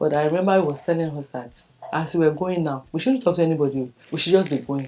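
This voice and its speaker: Speaking fairly quickly in a Nigerian accent, a woman has a very deep, low pitch, a dark, mellow tone, and ordinary pitch variation. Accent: Nigerian (Yoruba) English. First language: Yoruba. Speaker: birthday documentary subject. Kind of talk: personal testimony.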